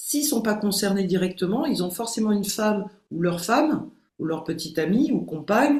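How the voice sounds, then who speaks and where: With lively intonation and a somewhat breathy quality, a woman talks at a moderate speed. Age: 60s. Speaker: behavioural coach and hypnotherapist. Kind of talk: podcast interview.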